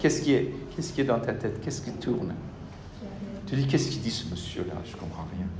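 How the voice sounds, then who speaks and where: A man talks at a medium pitch, with audible echo from the room. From Senegal. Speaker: university lecturer. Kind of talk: lecture. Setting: classroom with students. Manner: interactive, addresses students directly.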